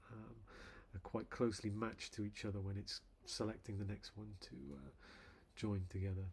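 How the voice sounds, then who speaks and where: Mumbling at a moderate pace, a man speaks with a fairly low pitch, a somewhat breathy sound and fairly even intonation. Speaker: software developer. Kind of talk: tutorial. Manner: halting. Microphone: quiet levels compared to playback audio.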